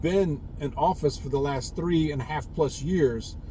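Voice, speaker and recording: Over noticeable background noise, a man with a fairly high pitch and a Southern US accent speaks with lively intonation. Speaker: prepper vlogger. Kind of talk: casual monologue vlog. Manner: halting, repetitive fillers.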